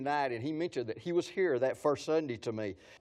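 A man is speaking. He has a West Texas accent. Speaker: pastor. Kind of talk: sermon. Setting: church gathering with audience. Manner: animated.

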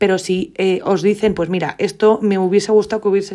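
A woman speaks with a medium pitch and a dark, mellow tone. Her pace is moderate. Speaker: podcast host, home organization. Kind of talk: solo monologue podcast. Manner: improvised, occasional stammering.

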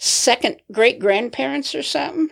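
Using vocal fry, a woman with an American accent speaks at a moderate pace and a fairly high pitch. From Nebraska. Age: 70s. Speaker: grandmother interviewed by grandson. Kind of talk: casual chat. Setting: studio.

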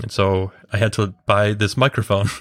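Here a man talks with a Midwestern accent at a fairly low pitch. The sound is dry and close, with no echo. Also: very clean recording, silent background. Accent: American Midwest. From US Midwest, Chicago. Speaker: designer and developer of a drawing app. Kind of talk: casual podcast interview.

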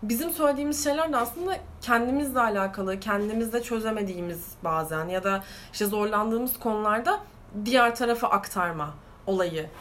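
Over noticeable background noise and audible room echo, a woman speaks at a fairly quick pace with a fairly high pitch and lively intonation. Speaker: podcast co-host. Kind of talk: casual chat.

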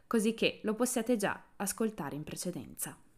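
A woman speaks at a moderate pace in an animated tone, her pitch varying in an ordinary way, on a very clean recording with a silent background. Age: 20s. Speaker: podcast host. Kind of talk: scripted monologue.

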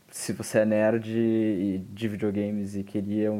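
A man's fairly low-pitched voice. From southern Brazil, Rio Grande. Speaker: radio host, journalism student. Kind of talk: casual chat.

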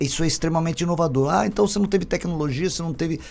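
The voice has vocal fry. Its intonation is lively. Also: man. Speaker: innovation hub CEO, engineer. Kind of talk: casual interview chat.

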